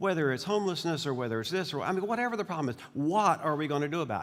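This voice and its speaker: A man with a Southern US accent talks at a very fast pace in a high voice that makes very wide pitch swings. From US South. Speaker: bishop. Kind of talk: speech. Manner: halting.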